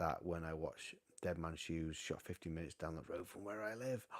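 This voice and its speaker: The speaker has a North Welsh accent and ordinary pitch variation. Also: man. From North Wales, Llandudno. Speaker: vinyl collector livestream host. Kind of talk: casual live stream chat reading viewer comments. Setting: home live stream on camera. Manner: animated.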